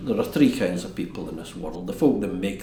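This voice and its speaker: With noticeable background noise behind him, a man speaks at a moderate pace in a Scottish accent. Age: 70s. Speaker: castle custodian. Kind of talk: documentary interview answer.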